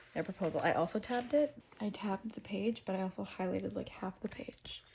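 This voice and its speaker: Lively intonation and vocal fry run through speech delivered at a moderate pace. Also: woman. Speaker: booktube reading vlogger. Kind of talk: casual reading vlog. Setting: at grandma's house. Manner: excited, animated; soft-spoken, talking quietly.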